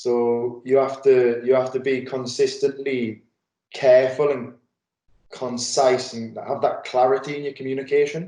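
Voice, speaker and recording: In a dark, mellow tone, the voice moves at a fairly slow pace with monotone, flat intonation. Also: man, medium pitch for a man. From northern England, Newcastle. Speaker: football coach. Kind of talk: webinar interview. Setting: video call. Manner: hesitant, many fillers.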